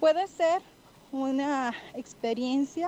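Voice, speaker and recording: A woman with a high-pitched voice and a dark, mellow tone speaks with ordinary pitch variation. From Venezuela. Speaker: survey respondent. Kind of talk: recorded voice message.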